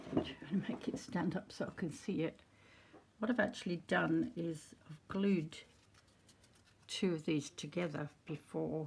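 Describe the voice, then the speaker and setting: With a fairly low pitch and a somewhat breathy voice, a woman speaks at a fairly slow pace. She uses ordinary pitch variation and takes long, frequent pauses. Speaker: crafter demonstrating junk journal making. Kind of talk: tutorial. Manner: casual, unhurried.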